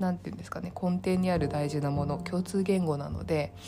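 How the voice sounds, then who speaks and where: A woman with a very deep, low pitch lets it swing very widely. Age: 30s. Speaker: solo podcaster. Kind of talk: casual monologue.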